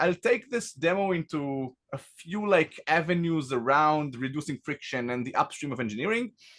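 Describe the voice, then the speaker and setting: With an Israeli accent, a man speaks at a fairly high pitch with lively intonation. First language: Hebrew. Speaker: tech company founder and CEO. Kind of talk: product demo presentation.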